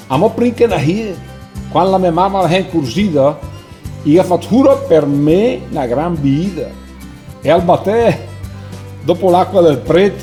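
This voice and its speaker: Music plays in the background as a man speaks with a Lombard accent at a fairly slow pace. His pitch swings very widely, and he leaves long, frequent pauses. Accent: Brescian dialect. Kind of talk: poetry reading.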